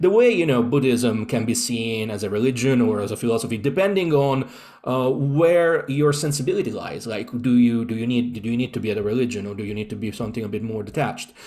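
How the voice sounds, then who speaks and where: Very fast and at a medium pitch, a man speaks with an Italian accent and ordinary pitch variation. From Italy, Rome. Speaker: occultist. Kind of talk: interview. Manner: halting.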